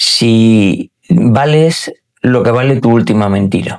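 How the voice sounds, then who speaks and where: A man with a medium pitch. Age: 60s. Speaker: wealth manager. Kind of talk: interview conversation. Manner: hesitant with fillers.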